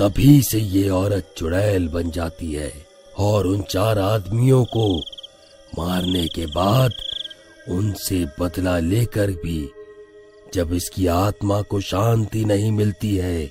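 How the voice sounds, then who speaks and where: A man's cartoonish character voice, very deep and low, at a very slow pace with ordinary pitch variation and clear music in the background. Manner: calm, paternal.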